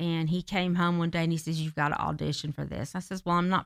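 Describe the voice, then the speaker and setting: A woman with a Southern US accent speaks at a fairly quick pace, with a fairly low pitch and fairly even intonation. The very clean recording has a silent background and a dry, close sound with no echo. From US South, Marietta, Georgia. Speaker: theater director and actress. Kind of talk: interview. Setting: studio.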